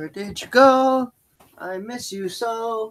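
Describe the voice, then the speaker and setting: The voice is a put-on character voice. Its pitch is fairly high. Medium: actual play.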